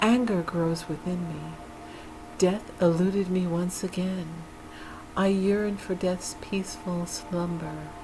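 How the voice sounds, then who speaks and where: Against music in the background, a woman speaks very slowly at a medium pitch with fairly even intonation. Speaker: ASMR creator and poet. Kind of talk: dark poetry reading. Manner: slow, soft, melancholic.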